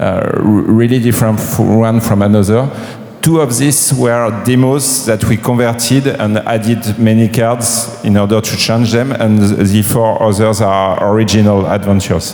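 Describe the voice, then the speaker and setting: A man with a French accent speaks at a moderate pace and medium pitch, with fairly even intonation and very even loudness. Noticeable background noise and audible room echo surround him. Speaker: game publisher. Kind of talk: panel talk. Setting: stage with audience. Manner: halting.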